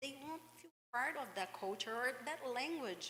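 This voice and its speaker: This voice has a bright, sharp tone in a Brazilian accent. Its pitch swings very widely. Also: woman. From Brazil, Minas Gerais. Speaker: English teacher. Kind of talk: panel discussion.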